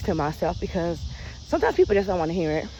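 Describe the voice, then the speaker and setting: A soft-spoken woman. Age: 40s. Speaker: vlogger. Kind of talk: casual chat.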